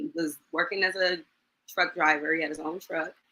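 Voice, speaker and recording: The woman's tone is bright and sharp, and she speaks at a fairly quick pace. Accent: American. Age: 40s. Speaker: high school teacher sharing domestic violence story. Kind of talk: testimony in interview. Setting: live online show.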